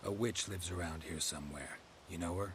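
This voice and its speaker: Over clear background noise, a man does a put-on character voice with a very deep, low pitch at a very fast pace. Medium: video game. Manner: terse, clipped.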